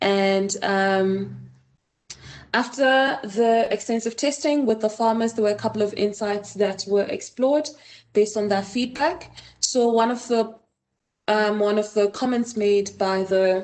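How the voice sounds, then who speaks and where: At a fairly slow pace, a woman with a Botswana accent speaks in a fairly high pitch, with fairly even intonation and very even loudness. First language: Setswana. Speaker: design researcher. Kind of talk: conference presentation. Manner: hesitant with frequent fillers.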